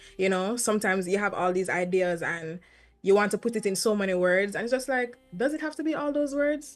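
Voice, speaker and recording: Music plays in the background as a woman talks at a fairly quick pace. Her medium-pitched voice has lively intonation. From Jamaica, St. Ann. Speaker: reggae singer. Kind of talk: interview. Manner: fast; articulate.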